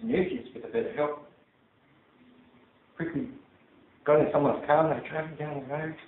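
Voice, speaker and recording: Delivered at a fairly quick pace with long, frequent pauses, the speech in an Australian accent has lively intonation and big swings in loudness. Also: man, fairly high pitch for a man. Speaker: Toastmasters club speaker. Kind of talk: storytelling speech to a live audience.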